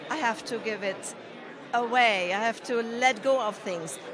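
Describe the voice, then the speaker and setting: A woman speaks at a moderate pace in a high voice. Noticeable background noise and audible room echo come through. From Germany. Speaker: podcaster. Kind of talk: interview.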